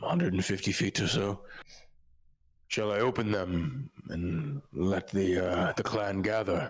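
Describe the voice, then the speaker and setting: Putting on a character voice, a man speaks low-ish at a fairly slow pace with long, frequent pauses. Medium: actual play. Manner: hesitant, halting.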